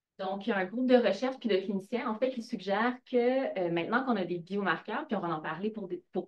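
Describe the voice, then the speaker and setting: Her pace is fairly quick. The woman's pitch shows ordinary variation. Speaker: professor and researcher. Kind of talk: lecture. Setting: lecture hall with audience. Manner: fast.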